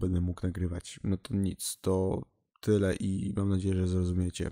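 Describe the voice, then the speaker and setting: A man's very deep, low, monotone voice with flat intonation, in a very clean recording with a silent background. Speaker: gaming YouTuber. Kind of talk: casual vlog announcement.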